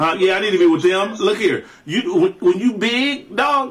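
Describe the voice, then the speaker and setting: At a moderate pace, a man with a high pitch makes very wide pitch swings over noticeable background noise. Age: 40s. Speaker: podcast co-host. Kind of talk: casual chat. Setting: studio.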